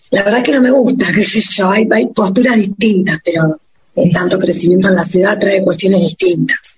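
Pitch varies in an ordinary way. The speaking pace is fairly quick. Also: woman. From Argentina, Patagonia (Puerto Madryn). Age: 40s. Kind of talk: radio interview. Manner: halting, repeats words.

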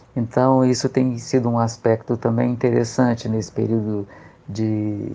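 A man talks in a dark, mellow tone. His intonation stays fairly even. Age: 40s. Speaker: occupational therapist. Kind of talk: interview testimony. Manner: halting.

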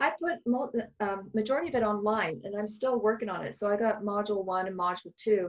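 Talking at a fairly quick pace, a woman has an ordinary speaking voice with ordinary pitch variation. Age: 50s. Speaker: psychic medium and healer. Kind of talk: casual interview chat.

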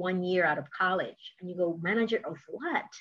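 A woman's medium-pitched delivery at a moderate pace, an unremarkable speaking voice. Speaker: podcast host. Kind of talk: interview.

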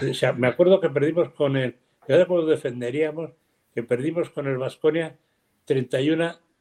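A man talks at a moderate pace with fairly even intonation. His voice sits at a fairly high pitch, with a dark, mellow tone. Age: 80s+. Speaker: basketball coach. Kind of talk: casual chat.

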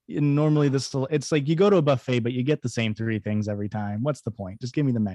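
In a Midwestern American accent, a man with a medium pitch and ordinary pitch variation talks at a very fast pace with hardly any pauses, recorded with a dry, close sound and no echo. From central Illinois, US Midwest. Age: 20s. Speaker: podcast co-host. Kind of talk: casual chat.

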